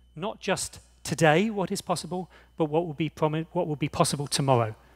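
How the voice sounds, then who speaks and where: A man's fairly high voice with an English accent, at a fairly quick pace, with ordinary pitch variation, in a very clean recording with a silent background and a dry, close sound with no echo. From England. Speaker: conference chair. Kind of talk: opening speech. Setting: conference stage with audience.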